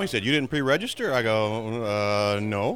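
A man speaks in a plain, everyday voice with an American accent, at a medium pitch with ordinary pitch variation. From Maryland. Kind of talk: anecdote.

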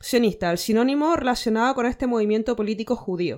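Fairly high voice of a woman, very clean recording with a silent background. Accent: Chilean. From Chile. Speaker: podcast co-host. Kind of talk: casual chat.

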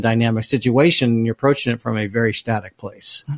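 With fairly even intonation, a man speaks at a very fast pace. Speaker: podcast co-host. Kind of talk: casual discussion.

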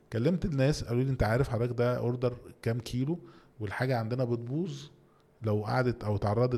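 Dark, mellow, somewhat breathy tone at a moderate pace with ordinary pitch variation. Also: man. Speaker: entrepreneur and CEO. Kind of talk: interview.

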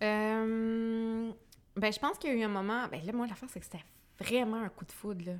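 With a Quebec accent, a woman talks at a moderate pace and a fairly high pitch, her intonation fairly even but her loudness swinging widely. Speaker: blogger and entrepreneur. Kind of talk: podcast interview testimony.

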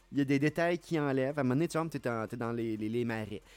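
A man's medium-pitched voice at a moderate pace with lively intonation, music in the background. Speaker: podcast co-host. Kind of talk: casual chat.

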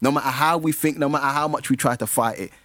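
This man has a South London accent and a fairly high pitch. The recording is very clean, with a silent background. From London (Brixton), African heritage. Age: 50s. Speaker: community mentor. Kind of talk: casual chat.

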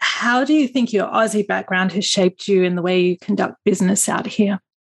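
A woman with an Australian accent speaks at a moderate pace and medium pitch. Her pitch varies in an ordinary way, and the sound is dry and close with no echo. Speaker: podcast host. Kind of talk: interview.

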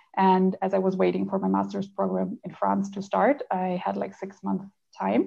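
A woman speaks with a German accent at a moderate pace. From Germany. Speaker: translator. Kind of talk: interview.

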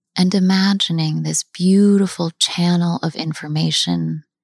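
Soothing and somewhat breathy, the voice moves at a fairly slow pace with flat, monotone intonation, dry and close with no echo, in a very clean recording with a silent background. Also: woman. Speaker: meditation guide. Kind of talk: guided meditation. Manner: slow, soothing and unhurried, with long pauses; gentle, warm and encouraging.

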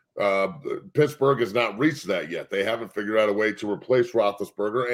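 A man's ordinary speaking voice at a fairly quick pace. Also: very clean recording, silent background. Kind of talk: casual sports debate.

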